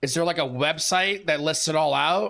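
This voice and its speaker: Bright and sharp in tone, a man with an American accent sounds animated, with ordinary pitch variation. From Seattle, US Pacific Northwest. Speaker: gaming streamer. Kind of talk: live game stream chat. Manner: loud.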